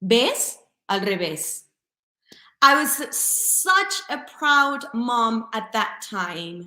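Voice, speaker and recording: Using a bright, sharp tone, a woman with a Spanish accent speaks at a very slow pace with ordinary pitch variation. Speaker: English teacher. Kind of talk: webinar presentation.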